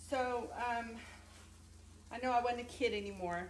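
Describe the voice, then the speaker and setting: A woman's fairly high-pitched voice amid noticeable background noise. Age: 60s. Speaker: bodybuilder and fitness instructor. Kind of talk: casual talk to camera.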